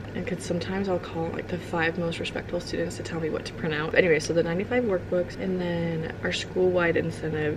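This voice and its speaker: Speaking at a very fast pace with hardly any pauses, the voice keeps a fairly even intonation over noticeable background noise. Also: woman, fairly low pitch for a woman. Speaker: kindergarten teacher and vlogger. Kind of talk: vlog narration. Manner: casual, lots of filler words.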